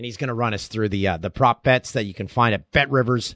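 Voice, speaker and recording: A man speaks at a fairly quick pace. The sound is dry and close with no echo. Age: 40s. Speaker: podcast host and sports broadcaster. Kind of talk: casual chat. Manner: animated.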